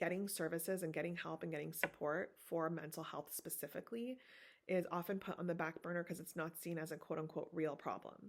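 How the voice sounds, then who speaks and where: Here a woman speaks with a fairly low pitch. Her pace is moderate and her intonation fairly even. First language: Farsi. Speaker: therapist. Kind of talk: guest lecture. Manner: casual, filler-heavy.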